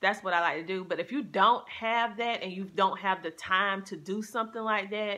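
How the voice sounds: Bright and sharp in tone, a woman's voice sits at a medium pitch. She keeps a moderate pace with ordinary pitch variation.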